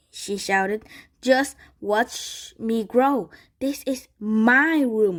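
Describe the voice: There is ordinary pitch variation in this plain reading aloud.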